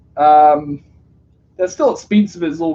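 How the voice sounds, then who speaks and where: The speaker talks at a fairly slow pace with a New Zealand accent. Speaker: streamer. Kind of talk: casual live stream chat.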